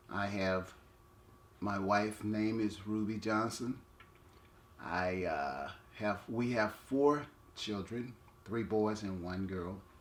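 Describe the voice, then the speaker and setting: At a very slow pace with long, frequent pauses, the speaker uses an American accent and ordinary pitch variation, with audible room echo. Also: man, fairly low pitch for a man. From Texas, Conroe. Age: 60s. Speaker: community elder. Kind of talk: oral history interview. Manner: halting.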